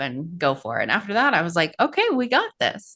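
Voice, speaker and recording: Using a General American accent, a woman talks at a moderate pace with a bright, sharp tone and very wide pitch swings. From Colorado, US. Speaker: podcast host. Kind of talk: podcast interview.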